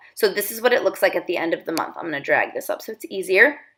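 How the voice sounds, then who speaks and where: A woman at medium pitch speaks in an animated tone with very wide pitch swings. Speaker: productivity coach. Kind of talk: tutorial. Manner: fast.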